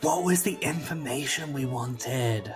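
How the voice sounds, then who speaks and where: A man's breathy, whispering put-on character voice at a moderate pace, with music in the background. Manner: stage whisper, loud and breathy, meant to be overheard.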